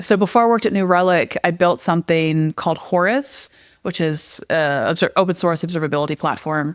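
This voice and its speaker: On a very clean recording with a silent background, a woman speaks fairly quickly in a fairly low voice with ordinary pitch variation. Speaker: software engineer and former teacher. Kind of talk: podcast interview. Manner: loud; animated, emotional.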